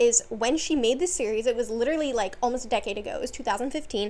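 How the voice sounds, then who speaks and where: This woman speaks at a high pitch. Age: 20s. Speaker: video essayist. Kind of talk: casual monologue video essay. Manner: casual, filler-heavy with restarts.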